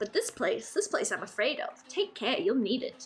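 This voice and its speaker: In a put-on character voice with an extremely high pitch, a woman speaks at a moderate pace, with some hissing. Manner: fearful, warning.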